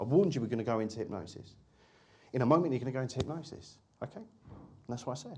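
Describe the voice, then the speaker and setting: A man speaks at a very fast clip with a somewhat breathy, medium-pitched voice. His intonation is lively. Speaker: hypnotist and hypnosis teacher. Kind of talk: lecture.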